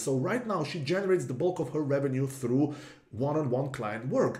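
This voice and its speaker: Over noticeable background noise and audible room echo, a man with a European accent speaks at a moderate pace with lively intonation. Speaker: marketing consultant. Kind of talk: tutorial. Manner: casual, with fillers.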